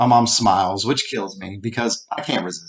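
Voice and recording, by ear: With fairly even intonation, the clip is reading aloud in a natural voice.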